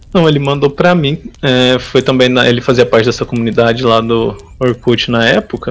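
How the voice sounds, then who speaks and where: At a fairly quick pace, an ordinary speaking voice keeps very even loudness and ordinary pitch variation. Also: man, medium pitch for a man. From interior of São Paulo state, Brazil. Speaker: website administrator, programmer. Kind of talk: casual interview chat.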